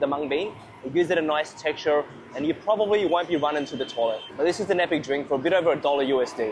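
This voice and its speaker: A man with an Australian accent, fairly high in pitch and animated in tone, at a very fast pace with ordinary pitch variation over noticeable background noise. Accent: thick Australian. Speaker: food and travel vlogger. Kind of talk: casual vlog narration. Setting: outdoors.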